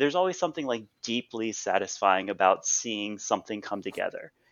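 A man with an unremarkable speaking voice talks at a fairly quick pace. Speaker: podcast co-host. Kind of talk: casual chat. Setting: art studio.

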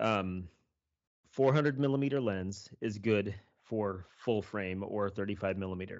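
A man with an American accent speaks very slowly at a fairly low pitch. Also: ordinary pitch variation. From Kansas, US Midwest. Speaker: podcast host. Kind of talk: casual chat, podcast interview. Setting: remote call.

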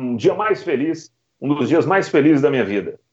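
Vocal fry runs through the voice, which carries lively intonation. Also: man. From Belo Horizonte, Minas Gerais, Brazil. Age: 30s. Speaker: radio football commentator. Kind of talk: interview. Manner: emotional, shouting goal calls.

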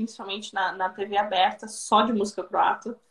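A woman speaks at a moderate pace. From southern Brazil, Rio Grande do Sul. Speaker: Brazilian expat in Croatia. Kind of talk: interview on live stream. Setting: live video stream. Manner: hesitant, many repetitions.

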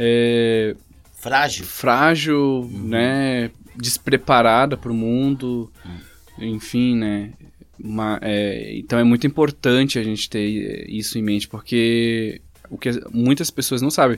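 A man speaks at a very slow pace in a medium pitch, his intonation fairly even. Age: 20s. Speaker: podcast host. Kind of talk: casual chat.

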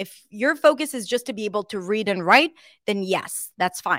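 A woman's medium-pitched voice with lively intonation and an Israeli accent, at a moderate pace, in a very clean recording with a silent background and a dry, close sound with no echo. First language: Hebrew. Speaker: English pronunciation coach. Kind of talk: casual interview chat.

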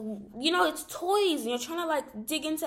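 A woman talks at a fairly quick pace with lively intonation. Noticeable background noise runs underneath. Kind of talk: casual monologue.

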